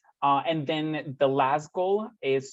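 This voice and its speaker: A man with a Spanish accent talks with ordinary pitch variation. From Costa Rica. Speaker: recruiter for a volunteer service organization. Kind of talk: informational presentation.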